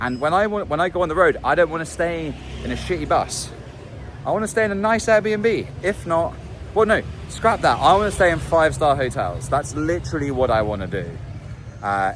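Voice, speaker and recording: Noticeable background noise sits behind a man with a fairly high pitch. He talks at a fairly quick pace with very wide pitch swings. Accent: British. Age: 30s. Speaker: musician and vlogger. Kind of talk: video diary monologue. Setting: outdoors in a city street. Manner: casual, meandering with fillers.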